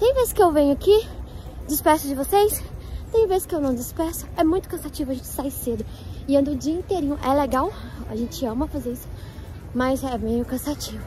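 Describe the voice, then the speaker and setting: Her pace is fairly quick and her pitch high for a woman. Crowd noise runs in the background, yet the sound stays dry with no echo. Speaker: travel vlogger. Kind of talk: casual vlog chat. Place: open country. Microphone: phone near.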